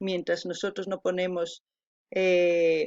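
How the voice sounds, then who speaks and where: With an Andean accent, a woman speaks at a medium pitch in a monotone, flat intonation. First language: Quechua (speaking Spanish). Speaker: video reactor. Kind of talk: reaction commentary. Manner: halting.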